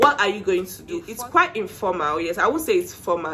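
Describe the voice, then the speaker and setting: Speaking at a moderate pace with a Nigerian accent, a woman uses a medium pitch, lively intonation and an animated tone that is bright and sharp. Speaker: IELTS tips vlogger. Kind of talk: casual tutorial.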